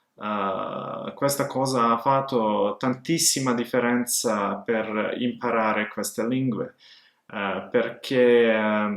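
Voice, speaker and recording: This man speaks very slowly. His voice sits at medium pitch with ordinary variation. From Montenegro, Podgorica. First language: Serbian/Montenegrin (speaking Italian). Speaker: language learner vlogger. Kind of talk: personal story monologue. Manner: halting, many filler sounds.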